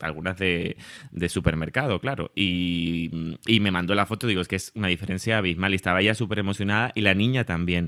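A man with a Canarian accent, very deep and low in pitch, bright and sharp in tone, at a fairly quick pace with fairly even intonation, in a dry, close, very clean recording with no echo and a silent background. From Canary Islands, Tenerife. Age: 30s. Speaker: social media creator on curly hair. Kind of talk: casual interview.

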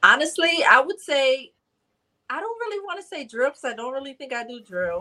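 A woman's high-pitched, raised and projected voice in an American accent, bright and sharp, with very wide pitch swings and big swings in loudness. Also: fairly quick pace. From Bridgeport, Connecticut. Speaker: rapper. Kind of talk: casual chat.

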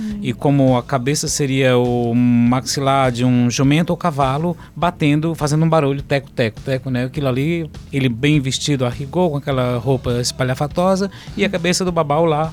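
Music plays behind a man whose voice sits fairly high. He talks at a moderate pace with ordinary pitch variation and hardly any pauses. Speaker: musician and folklore enthusiast. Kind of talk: interview.

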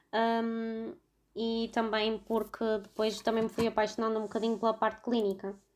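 The speech moves at a moderate pace with monotone, flat intonation. The recording is very clean, with a silent background. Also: woman, fairly high pitch for a woman. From Portugal, Vila Nova de Gaia (Porto area). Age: 20s. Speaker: veterinary student. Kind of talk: casual chat.

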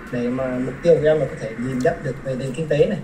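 A man is heard with audible room echo. There is noticeable background noise too. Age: 20s. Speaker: civil engineer. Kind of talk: casual interview.

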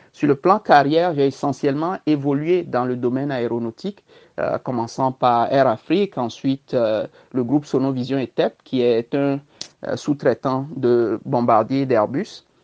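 With a very deep, low pitch, a woman talks at a fairly slow pace and ordinary pitch variation. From Togo. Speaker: diaspora political aspirant. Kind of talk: interview. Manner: halting.

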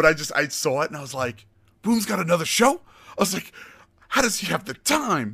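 A man's high-pitched, bright, sharp voice at a fairly quick pace, with very wide pitch swings and long, frequent pauses. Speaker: podcast host. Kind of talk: casual interview chat. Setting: live stream.

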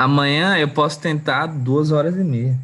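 Somewhat breathy and fairly high for a man, his voice goes at a fairly slow pace with ordinary pitch variation. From Gurupi, Tocantins, Brazil. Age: 20s. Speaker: photographer and artist. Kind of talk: casual chat. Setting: live stream.

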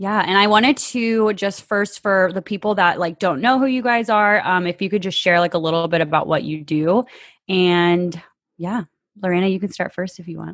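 Speaking at a medium pitch and a moderate pace, a woman has an animated tone and ordinary pitch variation over a quiet background. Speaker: podcast host, waxing esthetician. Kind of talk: interview, casual chat. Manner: animated, excitable.

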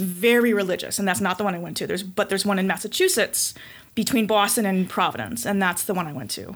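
Recorded very cleanly with a silent background, a woman talks at a very fast pace. Her medium-pitched voice shows ordinary pitch variation. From Connecticut, US. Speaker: breast cancer survivor, weightlifter. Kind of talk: casual interview. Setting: studio, in person.

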